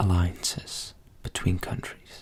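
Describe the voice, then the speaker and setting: Soft-spoken and somewhat breathy, a man talks at a very slow pace in a dark, mellow tone. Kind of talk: softly-spoken ASMR educational history lesson. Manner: soft-spoken, relaxing.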